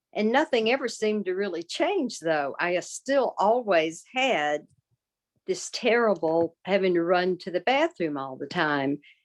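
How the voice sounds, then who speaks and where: A woman in a Southern US accent speaks at a fairly slow pace with medium pitch and very wide pitch swings, in a dry, close sound with no echo and a quiet background. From US South. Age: 60s. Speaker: patient advocate. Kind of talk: testimony.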